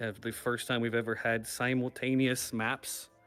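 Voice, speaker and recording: A man talks at a moderate pace with a medium pitch. Music plays in the background. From Texas. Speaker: awards show host. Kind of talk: awards show hosting. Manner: casual, halting with fillers.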